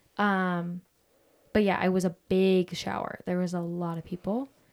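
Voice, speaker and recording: On a very clean recording with a silent background, a woman speaks at medium pitch. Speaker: podcast co-host, bride-to-be. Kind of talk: casual chat. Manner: low energy.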